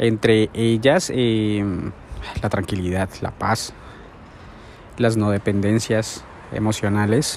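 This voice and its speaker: Against noticeable background noise, a man with a fairly low pitch speaks at a very slow pace in a relaxed tone, his intonation fairly even and his pauses long and frequent. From Colombia, Bogotá. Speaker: vlogger. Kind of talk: personal vlog monologue. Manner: relaxed, hesitant with fillers.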